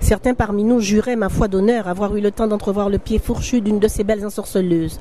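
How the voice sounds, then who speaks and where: Noticeable noise runs underneath. The talking goes at a fairly quick speed. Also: woman. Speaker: novelist reading her own book. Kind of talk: literary reading of a novel excerpt. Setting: live recording at a book fair.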